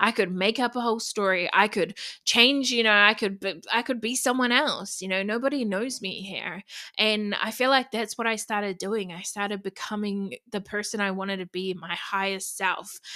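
At a moderate pace and medium pitch, a woman speaks in a bright, sharp, animated tone, in a very clean recording with a silent background. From New Zealand. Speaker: podcast host and body confidence coach. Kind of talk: casual solo podcast talk.

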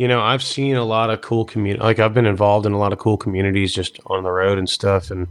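A man with an ordinary speaking voice talks at a fairly quick pace, his fairly low pitch held in fairly even intonation. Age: 20s. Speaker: country singer-songwriter. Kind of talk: casual interview chat. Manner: casual, filler-heavy.

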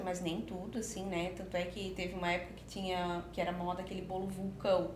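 Amid noticeable background noise and audible room echo, a woman talks at a fairly quick pace and medium pitch with fairly even intonation. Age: 30s. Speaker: confectioner and entrepreneur. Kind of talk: podcast interview.

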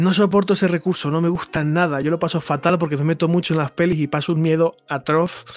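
Very fast and with hardly any pauses, a man's high-pitched voice holds a monotone, flat intonation and very even loudness. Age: 40s. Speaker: journalist and film commentator. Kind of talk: casual chat.

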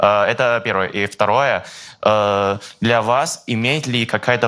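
Someone with a Chinese accent speaks at a fairly slow pace with ordinary pitch variation. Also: man. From China, Guangzhou. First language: Chinese (speaking Russian). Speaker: journalism student in audience. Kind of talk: audience question.

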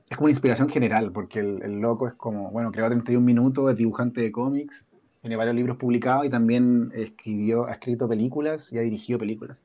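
A man with a Chilean accent, a dark, mellow tone and fairly even intonation at a fairly quick pace. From Chile, Valparaíso region. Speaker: illustrator and author. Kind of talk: casual chat.

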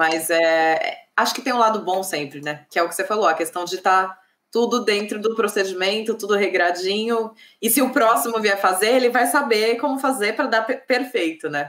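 A woman with a normal speaking voice, fairly high in pitch, at a moderate pace and with lively intonation. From Brazil, São Paulo. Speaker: civil engineer and channel host. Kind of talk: live interview. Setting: online livestream.

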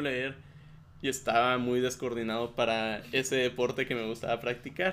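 A man talks with an ordinary speaking voice at medium pitch. His intonation is fairly even and his pace moderate. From Chihuahua, Mexico. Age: 20s. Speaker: podcast guest. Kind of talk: casual chat.

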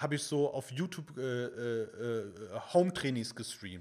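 A man talks at a moderate pace with lively intonation. He has an unremarkable speaking voice. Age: 30s. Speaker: fitness content creator. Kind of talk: casual chat.

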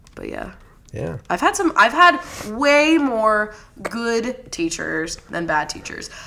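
A woman speaks very slowly at a fairly high pitch, with very wide pitch swings and big swings in loudness. Noticeable background noise runs underneath. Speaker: podcast host. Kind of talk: casual chat.

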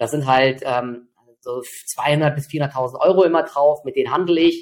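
Fairly high male pitch in an unremarkable speaking voice, moderately paced and fairly even in intonation. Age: 40s. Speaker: trader. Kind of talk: interview.

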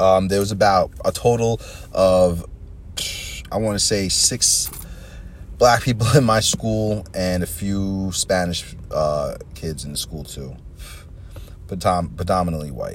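Amid noticeable background noise, a man with a New York accent speaks at a fairly slow pace with long, frequent pauses. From New York, Long Island. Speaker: podcast host. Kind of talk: casual monologue. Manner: rambling, hesitant with fillers.

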